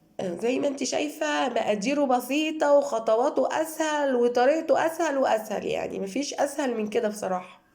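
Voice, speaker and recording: Her voice is high-pitched, and the woman talks at a moderate pace. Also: lively intonation. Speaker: cooking channel host. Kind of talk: cooking tutorial.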